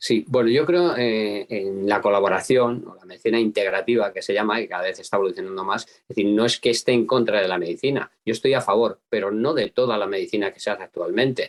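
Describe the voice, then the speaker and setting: A man talks at a very fast pace and medium pitch, with hardly any pauses. His loudness swings a lot while his pitch varies in an ordinary way, and the sound is dry and close with no echo. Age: 70s. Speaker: apitherapist. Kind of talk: interview. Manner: hesitant.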